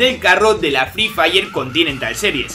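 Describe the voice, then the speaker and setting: A man's raised, projected voice over faint music in the background. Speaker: gaming content creator. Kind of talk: casual gaming commentary. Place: home room.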